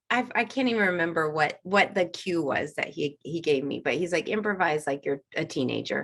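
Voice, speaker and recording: Using an ordinary speaking voice, a woman with an American accent talks at a moderate pace with lively intonation. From Kensington, Maryland, USA. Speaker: animator and voice actress. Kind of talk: interview answer. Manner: casual, conversational.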